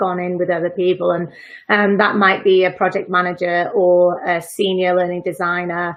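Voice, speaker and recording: A woman speaks with a Welsh accent in a monotone, flat intonation. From Wales. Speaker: freelance learning designer. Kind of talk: casual live interview chat.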